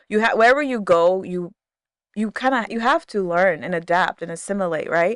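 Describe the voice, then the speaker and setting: A medium-pitched woman with an American accent, lively intonation and a fairly quick pace, on a very clean recording with a silent background and a dry, close sound with no echo. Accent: sounds American now. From Ghana, then the Bahamas, then US. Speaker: podcast guest. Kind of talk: casual chat.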